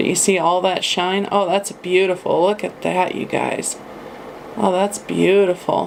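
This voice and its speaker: A woman's flat, monotone voice at medium pitch against noticeable background noise. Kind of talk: makeup haul review talk to camera. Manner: casual, chatty.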